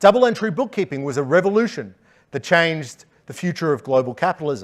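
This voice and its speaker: On a very clean recording with a silent background, a man speaks at a fairly quick pace with a fairly high pitch and lively intonation. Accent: Australian. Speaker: economist, conference speaker. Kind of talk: conference talk.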